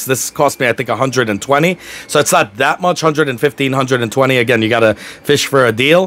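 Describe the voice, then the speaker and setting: A very fast voice with a New York accent, ordinary pitch variation and noticeable background noise. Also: man. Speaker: YouTuber reviewing gear. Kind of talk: product review. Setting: home desk. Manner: casual, rambling with fillers.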